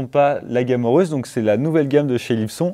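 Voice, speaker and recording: A man's tone is dark and mellow. Behind him, the background stays quiet. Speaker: audio equipment show host. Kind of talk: casual product review chat. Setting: studio. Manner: hesitant, filler-heavy. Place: studio.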